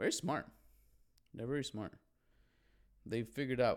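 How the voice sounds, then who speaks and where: In a Chicago accent, the voice sounds animated and moves at a very fast pace with ordinary pitch variation. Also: man. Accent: Chicago American English. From Chicago, US (Mexican heritage). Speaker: podcast host. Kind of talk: casual solo monologue.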